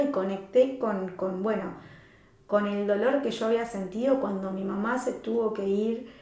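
Fairly even intonation at a fairly slow pace, with audible room echo and noticeable background noise. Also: woman. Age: 40s. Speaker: life coach. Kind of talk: casual interview chat.

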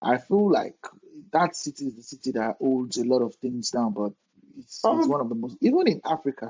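A man with a Nigerian accent talks fairly quickly at a medium pitch, with lively intonation and big swings in loudness. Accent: Nigerian (Yoruba) English. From Nigeria (Lagos). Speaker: podcast host. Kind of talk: casual interview.

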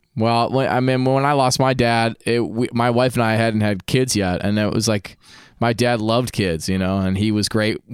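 In a very clean recording with a silent background, a man with a plain, everyday voice talks at a moderate pace and medium pitch, with fairly even intonation and very even loudness. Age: 30s. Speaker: podcast host and musician. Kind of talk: casual interview chat.

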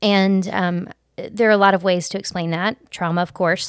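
She speaks with a Southern US accent. Her voice sits at a medium pitch for a woman. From US South, Alabama Gulf Coast. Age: 40s. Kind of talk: personal testimony in casual interview.

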